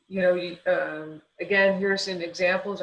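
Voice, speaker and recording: A moderate pace with a New Jersey accent. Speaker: federal transportation research official. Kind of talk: conference keynote presentation. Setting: online conference. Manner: many fillers, halting.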